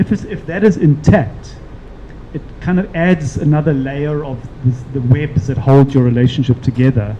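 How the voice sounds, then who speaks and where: Noticeable background noise runs under the clip. A man with a fairly high pitch speaks at a moderate pace. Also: ordinary pitch variation. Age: 60s. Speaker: panel speaker. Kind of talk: panel discussion. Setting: live-streamed event.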